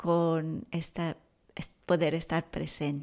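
A woman with a Portuguese accent speaks at a very slow pace in a very clean recording with a silent background. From Brazil. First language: Portuguese (speaking Spanish). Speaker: parenting expert and author. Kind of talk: interview. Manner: calm, soft-spoken.

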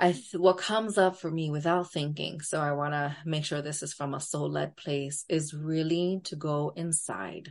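Her very deep, low pitch holds fairly even intonation as the woman talks at a moderate pace with hardly any pauses. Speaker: therapist. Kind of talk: casual interview conversation.

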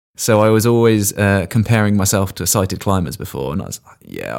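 A man speaks with an English accent and a fairly low pitch. His pitch variation is ordinary. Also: very clean recording, silent background. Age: 30s. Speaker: blind paraclimber. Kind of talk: interview. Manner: hesitant, with fillers.

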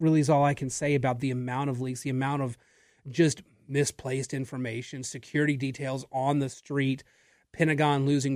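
On a very clean recording with a silent background, a man with a fairly high voice talks at a fairly quick pace. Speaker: radio host. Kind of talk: talk radio monologue. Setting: radio studio. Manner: energetic.

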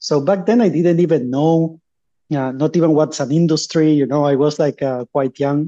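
A man with a Spanish accent, fairly high pitch, ordinary pitch variation and a fairly quick pace. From Uruguay. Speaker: startup founder. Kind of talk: interview.

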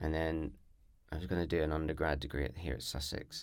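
A man's very deep, low voice with vocal fry at a very fast pace, on a very clean recording with a silent background. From Northern Ireland, near the border. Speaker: poet and performance artist. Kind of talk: casual interview chat.

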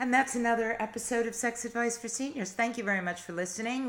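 The woman's voice has ordinary pitch variation. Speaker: podcast co-host. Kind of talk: casual conversational discussion.

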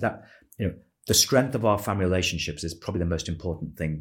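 Over a silent background on a very clean recording, a man with a very deep, low pitch speaks somewhat breathily with ordinary pitch variation. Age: 50s. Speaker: retail business founder and former chief executive. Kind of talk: interview. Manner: measured, with frequent fillers.

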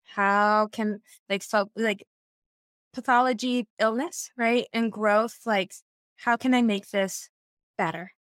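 A woman speaks very slowly with an American accent. Her delivery has long, frequent pauses. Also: very even loudness, dry, close sound with no echo. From US Northeast. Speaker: social scientist and former therapist. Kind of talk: casual interview conversation. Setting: video call. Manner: animated.

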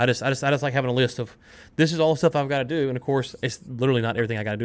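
This is a man speaking. His pitch is medium. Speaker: podcast co-host. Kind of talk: casual business chat. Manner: talks fast, mumbles; loud talker.

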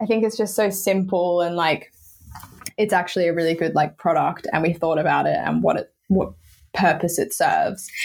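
Her pace is moderate. This woman talks with an Australian accent. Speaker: women's football club founder. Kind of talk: casual chat. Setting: video call.

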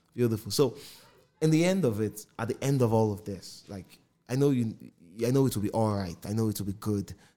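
Speaking at a fairly quick pace with a Nigerian accent, a man has a dark, mellow tone, medium pitch and ordinary pitch variation. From Nigeria, Port Harcourt. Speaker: podcast host. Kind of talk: casual interview chat.

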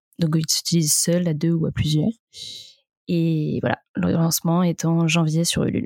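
A woman's voice comes through dry and close with no echo, her delivery at a fairly slow pace. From Brittany, France (Vannes). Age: 20s. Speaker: entrepreneur, sex toy brand founder. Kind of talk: casual interview.

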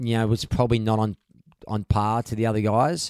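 With an Australian accent, a man speaks at medium pitch in a very clean recording with a silent background and a dry, close sound with no echo. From Australia, Gold Coast. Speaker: champion paddleboarder and big wave surfer. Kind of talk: casual chat. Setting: in person at a home. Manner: halting, with frequent repeated words.

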